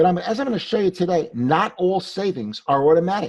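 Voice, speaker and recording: A man's dark, mellow voice with a New York accent, at a fairly quick pace with very wide pitch swings. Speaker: tax attorney and CPA. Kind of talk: webinar presentation. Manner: fast; animated.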